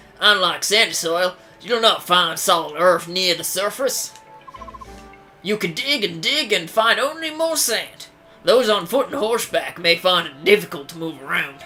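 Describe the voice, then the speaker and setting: Over clear background music, a put-on character voice at a middle pitch speaks at a moderate pace. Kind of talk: reading game dialogue. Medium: actual play. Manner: polite, formal.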